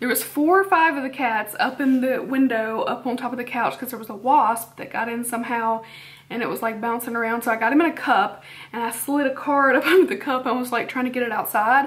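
Her pitch high and its variation ordinary, a woman talks at a fairly quick pace. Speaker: beauty vlogger. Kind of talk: casual vlog chat. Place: home room. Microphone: camera far.

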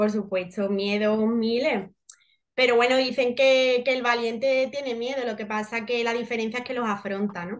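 The speaker has an Andalusian accent and a moderate pace. Intonation stays fairly even. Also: woman, fairly high pitch for a woman, quiet background. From Seville, Andalusia, Spain; Andalusia, Spain. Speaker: actress. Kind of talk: interview. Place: home room. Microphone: video call.

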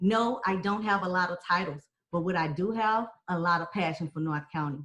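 A woman with an American accent talks at a moderate pace in a somewhat breathy, medium-pitched voice with ordinary pitch variation. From Texas. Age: 40s. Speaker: political candidate. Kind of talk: debate forum.

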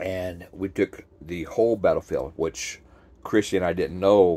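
A man's dark, mellow voice, monotone and flat in intonation, at a moderate pace. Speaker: traveler vlogger. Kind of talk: casual vlog chat. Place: home room. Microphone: phone near.

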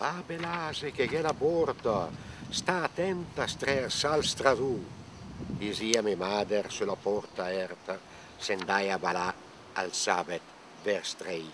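Speaking very slowly with long, frequent pauses, a man with a Lombard accent and a fairly low pitch uses very wide pitch swings, the sound dry with no echo and noticeable background noise behind him. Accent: Bergamasque dialect. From Bergamo lowlands, Lombardy. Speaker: poet. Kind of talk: dialect poetry reading. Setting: outdoors. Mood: playful, expressive. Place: garden.

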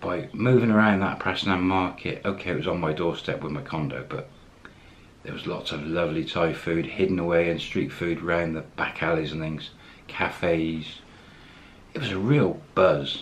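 At a moderate pace, a man speaks in a very deep, low voice with ordinary pitch variation. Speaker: expat vlogger. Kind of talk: casual vlog chat. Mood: warm, upbeat.

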